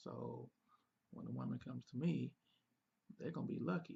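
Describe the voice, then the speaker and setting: At a moderate pace, a man is soft-spoken. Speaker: relationship advice show co-host. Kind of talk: casual Q&A chat.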